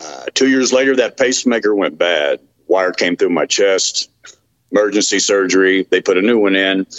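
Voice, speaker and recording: A man speaks with a Texan accent and ordinary pitch variation. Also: moderate pace. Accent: Texan Southern US. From Texas, Dallas. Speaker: medical cannabis patient. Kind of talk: interview testimony. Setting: remote call.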